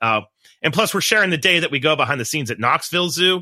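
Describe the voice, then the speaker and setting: The recording is very clean, and the background is silent. A man rattles along at a very fast pace. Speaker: podcast host and biology researcher. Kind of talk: casual podcast interview.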